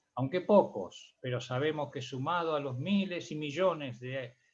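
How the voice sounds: Speaking fairly slowly at a medium pitch, a man uses ordinary pitch variation while audible room echo surrounds his voice.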